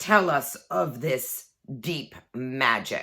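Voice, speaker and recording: On a very clean recording with a silent background, a woman growls in a put-on character voice at a very deep, low pitch. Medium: read story. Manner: grave.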